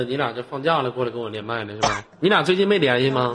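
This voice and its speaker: Over noticeable background noise, a man talks at a very fast pace. His tone is animated and his intonation lively. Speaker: live-stream host. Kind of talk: casual chat. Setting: online voice chat room.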